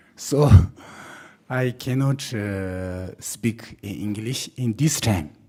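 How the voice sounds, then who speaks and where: A very slow male voice at medium pitch, dark and mellow in tone, with a non-native accent. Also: ordinary pitch variation. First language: not English. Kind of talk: formal remarks. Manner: halting.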